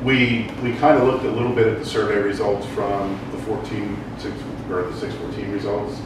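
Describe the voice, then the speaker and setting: A man speaks with ordinary pitch variation amid loud background noise. There is audible room echo. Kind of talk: meeting report. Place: meeting room. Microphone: camera far.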